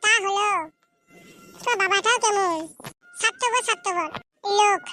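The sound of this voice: A woman uses a squeaky, cartoonish character voice at an extremely high pitch with fairly even intonation. She speaks at a moderate pace, with faint music in the background.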